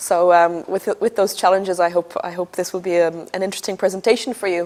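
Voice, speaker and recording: A woman with an Irish accent talks at a fairly quick pace in a medium pitch. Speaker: energy analyst. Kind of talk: conference presentation.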